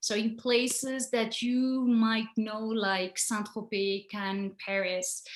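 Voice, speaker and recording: In a French accent, a woman speaks at a very slow pace with hardly any pauses, a fairly high pitch and fairly even intonation. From France. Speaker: photographer. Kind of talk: presentation. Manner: halting.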